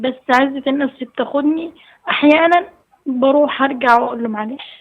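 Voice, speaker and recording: A high-pitched woman's voice, fairly even in intonation, at a moderate pace. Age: 20s. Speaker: caller. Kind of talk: phone-in advice call. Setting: phone call.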